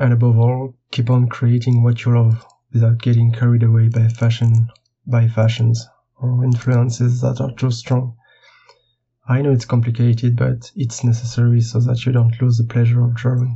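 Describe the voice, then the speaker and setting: A man speaks at a moderate pace with a French accent, his voice medium in pitch and somewhat breathy. His intonation is flat and monotone, and his loudness stays very even. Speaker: illustrator. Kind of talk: recorded interview answers.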